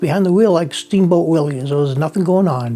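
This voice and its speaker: Speaking at a fairly quick pace with an American accent, a man with a high voice uses ordinary pitch variation. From Cape Cod, Massachusetts (Provincetown). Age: 70s. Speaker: fisherman. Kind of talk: interview storytelling.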